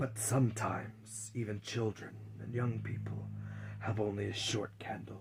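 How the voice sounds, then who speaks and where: Over clear background noise, a man puts on a character voice with a menacing tone. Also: moderate pace. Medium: read story. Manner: grave, menacing.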